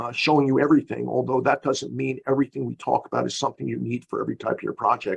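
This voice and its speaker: A man speaks at a very fast pace in a dry, close sound with no echo. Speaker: engineering consultant presenter. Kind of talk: webinar lecture.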